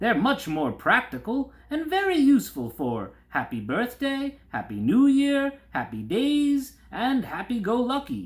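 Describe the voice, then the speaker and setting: Using a put-on character voice at an extremely high pitch, a man talks at a fairly slow pace with hardly any pauses. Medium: read story. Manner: hearty barker-style pitch.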